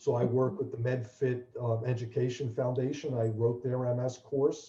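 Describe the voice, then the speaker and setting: A man speaks in a dark, mellow, somewhat breathy tone with fairly even intonation. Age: 60s. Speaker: fitness trainer and charity founder with multiple sclerosis. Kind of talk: interview.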